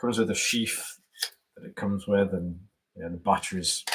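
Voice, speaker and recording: A man with an English Midlands accent speaks at a moderate pace, his fairly low pitch showing ordinary variation. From England, Staffordshire. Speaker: YouTuber, gear reviewer. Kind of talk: casual live-stream chat. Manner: halting, repeats words.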